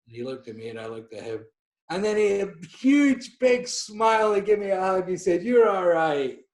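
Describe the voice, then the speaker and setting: With a Scottish accent, a man speaks at a high pitch. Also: fairly quick pace, big swings in loudness. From Scotland. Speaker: portrait photographer. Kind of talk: podcast interview. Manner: halting.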